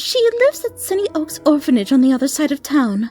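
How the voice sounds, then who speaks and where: A female-sounding, put-on character voice is pitched high. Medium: read story. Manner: refined, proper.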